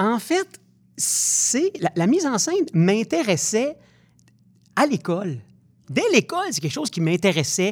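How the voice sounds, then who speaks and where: This man's high-pitched voice swings very widely in pitch, broken by long, frequent pauses. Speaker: actor and stage director. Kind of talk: interview. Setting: studio.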